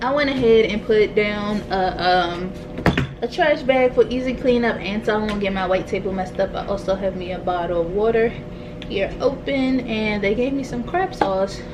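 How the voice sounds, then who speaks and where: Noticeable background noise behind a woman speaking fairly high, at a moderate pace and with ordinary pitch variation. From Maryland, Prince George's County. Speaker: vlogger. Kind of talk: casual chat. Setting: home kitchen table. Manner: chewing while talking.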